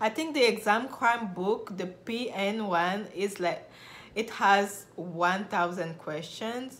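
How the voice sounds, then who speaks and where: Audible room echo surrounds a woman talking at a very slow pace. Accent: French. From Republic of Congo. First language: French. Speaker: nurse and video blogger. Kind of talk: personal story vlog.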